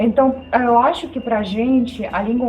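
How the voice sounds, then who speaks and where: Over background music and audible room echo, a woman with a high voice speaks at a very slow pace. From Belarus. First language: Belarusian or Russian (speaking Portuguese). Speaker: video host. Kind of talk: casual chat.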